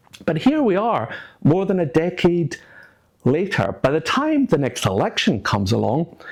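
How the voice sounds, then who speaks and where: Here a man speaks in a Scottish accent at a high pitch. His pitch swings very widely at a moderate pace. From Scotland. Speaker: former politician, political commentator. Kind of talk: political commentary monologue.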